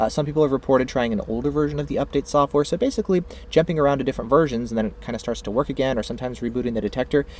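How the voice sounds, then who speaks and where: A man talks at a very fast pace with hardly any pauses. His pitch is medium. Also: ordinary pitch variation. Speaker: tech product reviewer. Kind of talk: tutorial. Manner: casual with many filler words.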